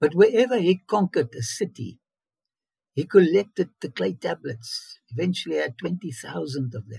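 In a dry, close recording with no echo, a man with a high pitch and a dark, mellow tone speaks at a moderate pace, using very wide pitch swings and big swings in loudness. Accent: South African. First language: Afrikaans. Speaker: biblical archaeologist. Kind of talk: interview. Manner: animated.

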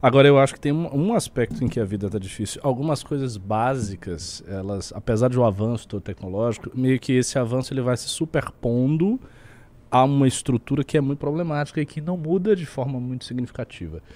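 A man speaks in a normal speaking voice at a fairly quick pace. His pitch is medium, with lively intonation. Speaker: political commentator. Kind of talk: casual political chat. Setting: live stream.

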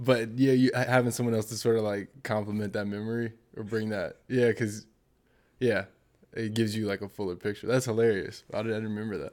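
Talking at a fairly quick pace, a man with an American accent keeps a monotone, flat intonation. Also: medium pitch for a man. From Portland, Oregon, US. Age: 30s. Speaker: marketing professional. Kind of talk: casual chat.

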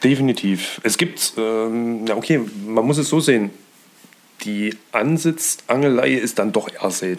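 A man speaks fairly slowly at a medium pitch with ordinary pitch variation. He has an unremarkable speaking voice. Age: 30s. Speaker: hobby angler. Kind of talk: casual chat. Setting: friends' living room.

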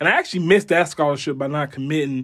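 At a very fast pace, a man with an American accent speaks at a fairly high pitch with fairly even intonation, in a very clean recording with a silent background. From South Florida (Homestead). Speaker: college football coach and student advisor. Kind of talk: casual interview.

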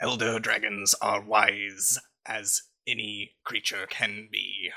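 Someone performs a put-on character voice. The words come at a very slow pace. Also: man, fairly low pitch for a man. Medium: actual play. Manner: measured, formal.

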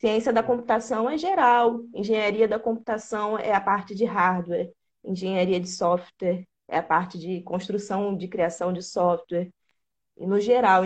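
At a moderate pace and medium pitch, a woman speaks in a plain, everyday voice with lively intonation. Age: 20s. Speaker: programming content creator. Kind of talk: casual interview.

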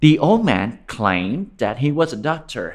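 Over a quiet background, a man with a plain, everyday voice speaks with lively intonation. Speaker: storyteller. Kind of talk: fairy-tale narration for children. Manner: gentle, warm, slow-paced storytelling.

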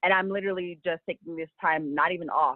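A woman with an American accent talks at a fairly quick pace in a fairly low pitch. She has an ordinary speaking voice. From Los Angeles. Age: 20s. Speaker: small business owner. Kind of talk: interview.

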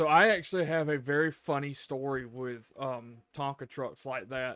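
On a very clean, dry and close recording with a silent background and no echo, a man with an American accent speaks at a moderate pace in a fairly high, bright, sharp voice with ordinary pitch variation. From US South, rural. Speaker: podcast co-host. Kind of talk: casual chat.

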